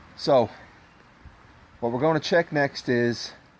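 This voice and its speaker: A man's medium-pitched voice with a Dublin accent. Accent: Dublin Irish. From Ireland, Dublin. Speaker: classic car hobbyist. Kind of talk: tutorial. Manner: fast.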